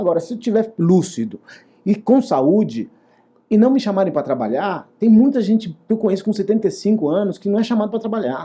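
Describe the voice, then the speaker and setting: A man's high, dark, mellow voice with ordinary pitch variation at a fairly quick pace. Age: 60s. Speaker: actor and theater director. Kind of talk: interview. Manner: hesitant with repetitions.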